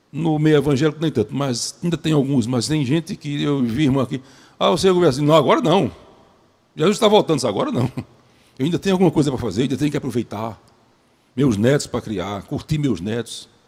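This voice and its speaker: A man's fairly high voice at a very fast pace, with lively intonation and long, frequent pauses. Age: 70s. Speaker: preacher. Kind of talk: sermon.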